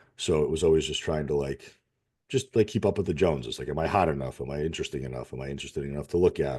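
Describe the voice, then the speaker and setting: Over a quiet background, a man talks at a very fast pace in a very deep, low pitch with a dark, mellow tone, vocal fry and ordinary pitch variation. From Russia, raised in Connecticut, US. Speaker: fitness and nutrition coach. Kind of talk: podcast interview. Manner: casual, candid.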